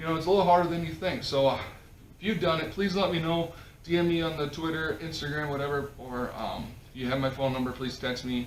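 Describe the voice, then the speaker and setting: A man with a Minnesota accent talks at a very fast pace in a fairly high pitch, with ordinary pitch variation. Noticeable background noise and audible room echo are present. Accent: Midwest, Minnesota-like. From South Dakota, near Minnesota border. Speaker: podcast host. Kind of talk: casual chat.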